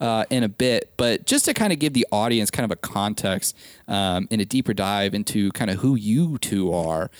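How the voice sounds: A man speaks at a moderate pace with an American accent.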